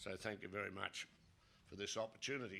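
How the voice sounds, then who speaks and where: This man's voice is fairly low in pitch, with a bright, sharp tone. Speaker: geology professor. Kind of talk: conference lecture. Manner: deliberately not too fast.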